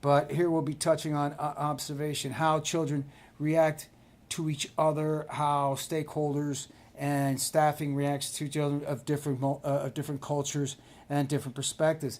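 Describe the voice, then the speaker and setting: With an American accent, a man speaks at a moderate pace in a fairly high, flat monotone on a very clean recording with a silent background. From Cuban American. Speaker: professor. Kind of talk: lecture. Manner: halting, many fillers.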